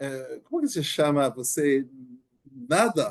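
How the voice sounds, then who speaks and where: Speaking with a non-native accent, a man uses a fairly high pitch. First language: not Portuguese (speaking Portuguese). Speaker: podcast host. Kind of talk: casual interview. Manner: halting, many repeated words.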